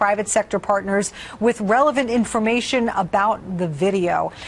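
A woman talks in an ordinary speaking voice at a medium pitch, with ordinary pitch variation and a moderate pace. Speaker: TV news anchor. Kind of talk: TV news interview questions.

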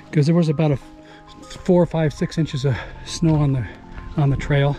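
A man's voice, dry with no echo, at a moderate pace with fairly even intonation and faint music in the background. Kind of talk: casual vlog narration while hiking. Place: forest. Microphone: phone near.

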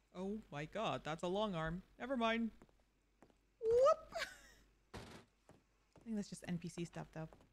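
A woman talks at a moderate pace with long, frequent pauses. Loud background noise fills the recording. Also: ordinary pitch variation. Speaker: streamer playing roleplay game. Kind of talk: live stream gameplay commentary. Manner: casual, animated. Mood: playful, chatty. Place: home room.

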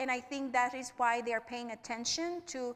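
A woman speaks with a high pitch in a Spanish accent. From Puerto Rico. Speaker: nonprofit regional director; panelist. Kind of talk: panel discussion. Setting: stage with live audience.

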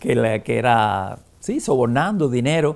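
Very wide swings in pitch from a man. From Cuba, Havana; Cuba. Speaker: film critic and journalist; journalist. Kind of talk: interview. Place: home room. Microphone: lapel.

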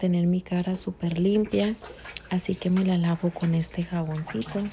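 A woman at a fairly slow pace with fairly even intonation, over light background noise. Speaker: beauty vlogger. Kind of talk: casual vlog chat. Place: bathroom. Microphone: phone near.

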